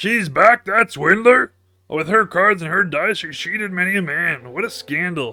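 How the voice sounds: A man's put-on character voice, croaky, raised and projected, high-pitched, at a moderate pace.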